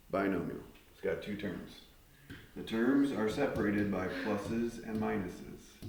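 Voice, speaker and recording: Fairly low male voice with fairly even intonation and big swings in loudness, amid noticeable background noise and audible room echo. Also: moderate pace. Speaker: math teacher. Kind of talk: classroom lesson. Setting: classroom with students.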